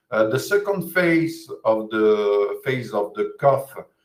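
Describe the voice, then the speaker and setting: A man with a French accent, speaking very slowly, with audible room echo. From France. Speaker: physiotherapist. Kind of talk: lecture. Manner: halting, many hesitations.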